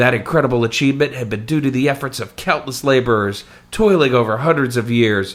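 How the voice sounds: The speaker reads in a natural reading voice, with ordinary pitch variation throughout.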